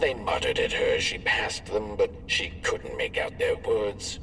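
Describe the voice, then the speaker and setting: A man puts on a character voice at an extremely high pitch. He speaks at a moderate pace over clear background noise. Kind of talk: dark bedtime story. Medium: machinima. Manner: measured, whimsical.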